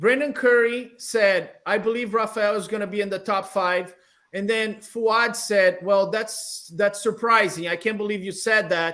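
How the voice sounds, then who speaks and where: A man with a Brazilian accent speaks at a fairly slow pace. His voice is high, with fairly even intonation. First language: Portuguese. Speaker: bodybuilding show host. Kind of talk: panel interview.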